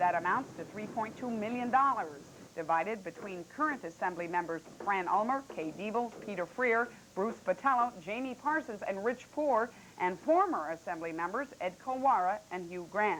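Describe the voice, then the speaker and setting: A woman's ordinary speaking voice at medium pitch, with an American accent, lively intonation and a moderate pace. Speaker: television news anchor. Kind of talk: local TV newscast anchor read. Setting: 1985 broadcast television recording, Betamax tape.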